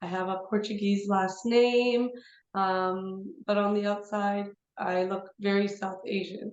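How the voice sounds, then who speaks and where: In a Canadian accent, a woman speaks at a very slow pace and medium pitch. Audible room echo surrounds her voice. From Canada (Toronto). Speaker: yoga teacher. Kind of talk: interview.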